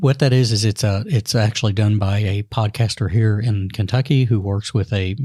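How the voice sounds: This man's fairly low, slightly mellow voice keeps a fairly even intonation.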